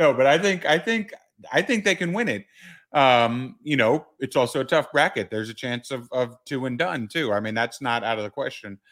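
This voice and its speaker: A man with a medium-pitched voice, an ordinary speaking voice, talks at a moderate pace in a very clean recording with a silent background. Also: lively intonation. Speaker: sports podcast host. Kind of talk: casual sports talk.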